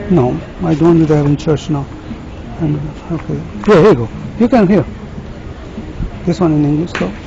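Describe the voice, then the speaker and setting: Over noticeable background noise, a man with a fairly high pitch talks at a fairly quick pace with lively intonation and long, frequent pauses. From Pakistan. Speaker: street evangelist. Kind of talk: heated debate.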